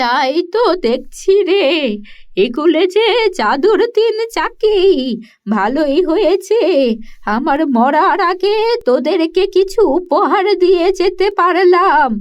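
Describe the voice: Extremely high for a woman, this female-sounding cartoonish character voice moves at a very slow pace.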